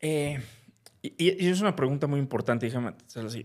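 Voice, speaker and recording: A man's plain, everyday voice at a medium pitch. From Mexico, Veracruz port. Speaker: fintech company CEO. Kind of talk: interview.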